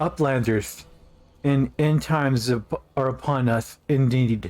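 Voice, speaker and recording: A man puts on a wheezy character voice at a medium pitch. He speaks fairly slowly over music in the background. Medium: game stream. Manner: stern, distrustful.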